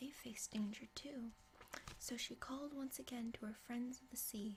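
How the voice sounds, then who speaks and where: Soft-spoken, a woman talks at a fairly slow pace in a high pitch. Her intonation stays fairly even. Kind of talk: ASMR bedtime story reading. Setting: reading a picture book to camera.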